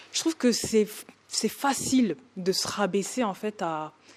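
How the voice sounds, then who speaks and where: Ordinary pitch variation marks the voice. It belongs to a woman. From northern France, Oise. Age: 20s. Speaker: podcast guest. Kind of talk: interview testimony. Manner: hesitant, many fillers.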